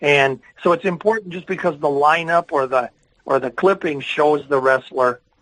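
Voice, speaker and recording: A man in a normal speaking voice, fairly high-pitched, with ordinary pitch variation at a moderate pace. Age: 60s. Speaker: wrestling historian and author. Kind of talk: podcast conversation.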